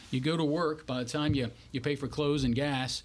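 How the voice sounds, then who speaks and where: A man speaks in a Louisiana accent. His pace is fairly quick. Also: very clean recording, silent background. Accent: Louisiana Southern American. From Louisiana (Bunkie, central Louisiana). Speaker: political candidate, former navy pilot. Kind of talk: interview.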